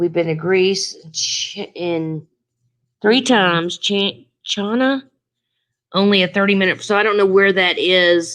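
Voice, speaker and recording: Against a quiet background, a woman in a Southern US accent speaks at a very slow pace with long, frequent pauses and fairly even intonation. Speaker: travel vlogger. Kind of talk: live stream Q&A chat. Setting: live stream. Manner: casual, halting.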